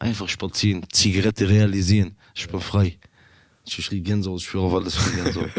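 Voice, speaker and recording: Monotone and flat, a man speaks at a fairly quick pace. His voice is fairly low. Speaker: inmate podcast host. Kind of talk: casual chat. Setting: youth prison.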